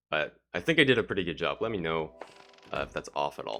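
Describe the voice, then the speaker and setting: Music in the background behind a man's very deep, low voice, fairly quick and lively in intonation. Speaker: speedrunner streamer. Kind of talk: live gameplay commentary. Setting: livestream with webcam. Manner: casual, explanatory.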